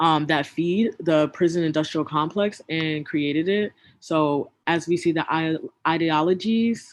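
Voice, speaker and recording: In an American accent, a woman with a fairly low pitch speaks fairly slowly, her intonation fairly even. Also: quiet background. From US South. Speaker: community organizer, workshop facilitator. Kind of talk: online workshop presentation.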